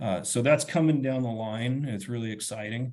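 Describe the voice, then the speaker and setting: Somewhat breathy, the man talks with an American accent. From western Montana. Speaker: forest ecology professor. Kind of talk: webinar lecture. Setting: online webinar. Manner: fast; casual, halting with repeated words.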